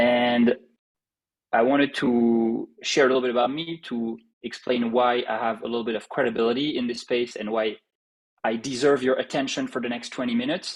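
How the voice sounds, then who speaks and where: Medium-pitched man with a strong French accent, monotone, flat intonation and a fairly quick pace. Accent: heavy French. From France. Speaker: startup CEO and co-founder. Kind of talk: live online presentation. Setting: live online summit session.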